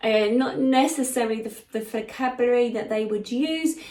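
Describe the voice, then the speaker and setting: A woman speaks fairly quickly with fairly even intonation while background noise is noticeable. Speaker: psychic medium. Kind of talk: channeled spiritual message. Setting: live session with listeners present. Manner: fast; halting, with many fillers.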